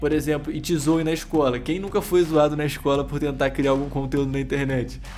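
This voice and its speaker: Over music in the background, a man with a fairly high voice talks in a Brazilian accent, and the room echo is audible. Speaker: YouTube course creator. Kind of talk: tutorial. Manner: fast; energetic.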